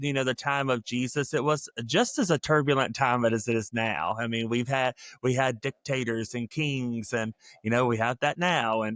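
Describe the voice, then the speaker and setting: A man talks in a plain, everyday voice. The sound is dry and close, with no echo. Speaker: interview host, seminary graduate. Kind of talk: casual interview hosting.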